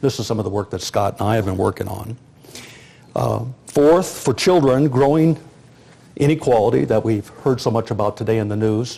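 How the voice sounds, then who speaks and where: With an American accent, a man uses a plain, everyday voice at medium pitch, with lively intonation and a moderate pace. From US Midwest, rural South Dakota. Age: 60s. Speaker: sociologist and demographer. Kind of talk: lecture.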